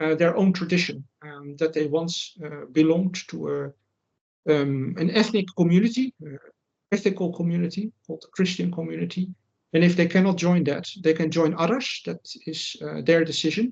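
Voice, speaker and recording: His voice sits high for a man, with ordinary pitch variation. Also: moderate pace, big swings in loudness. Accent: Dutch. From Netherlands. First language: Dutch. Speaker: writer and commentator. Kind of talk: interview. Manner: halting, many fillers.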